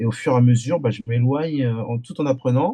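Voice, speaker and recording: A man speaks at a fairly slow pace in a medium pitch, his tone dark and mellow, somewhat breathy, with ordinary pitch variation. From France, Antillean family. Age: 40s. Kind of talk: podcast interview testimony. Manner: halting, many hesitations and repetitions.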